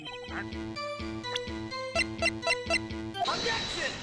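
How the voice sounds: This is a natural reading voice. It carries the words through.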